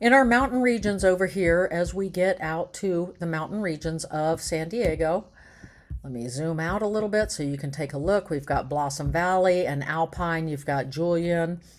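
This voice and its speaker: A woman speaks at a fairly low pitch with ordinary variation. The recording is very clean, the background silent. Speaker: real estate agent. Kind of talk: guided map walkthrough for viewers. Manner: casual, conversational; fast.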